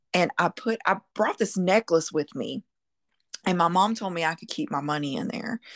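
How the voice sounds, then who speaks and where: In a dry, close recording with no echo, a woman has an unremarkable speaking voice, lively intonation and a moderate pace. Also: medium pitch for a woman, quiet background. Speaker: podcast co-host. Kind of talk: casual chat.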